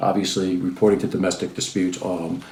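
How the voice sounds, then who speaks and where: Intonation is fairly even. The speaker is a man. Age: 60s. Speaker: lawyer and commentator. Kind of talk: opinion commentary. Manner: hesitant, many fillers.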